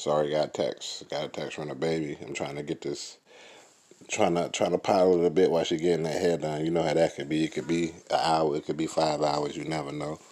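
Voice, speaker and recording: A man's very deep, low voice at a fairly quick pace, flat and monotone in intonation. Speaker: podcast host and sim football league coach. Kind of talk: casual solo podcast monologue. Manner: subdued, toned down, quieter than usual; repetitive, filler-heavy.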